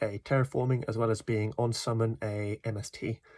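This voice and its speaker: Dry and close with no echo, a man's somewhat breathy voice sits at a medium pitch. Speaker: card game deck reviewer. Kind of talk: casual deck profile talk.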